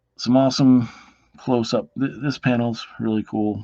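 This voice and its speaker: With the background quiet, a man talks at a moderate pace. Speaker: comic book reviewer. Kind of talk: casual video review. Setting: home at night, others asleep. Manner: quiet, low voice; hesitant, many fillers.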